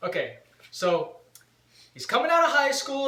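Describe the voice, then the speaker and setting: A raised, projected voice with very wide pitch swings, fairly slow pace and audible room echo. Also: man. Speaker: vlogger and punk rock band member. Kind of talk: casual chat. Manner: loud.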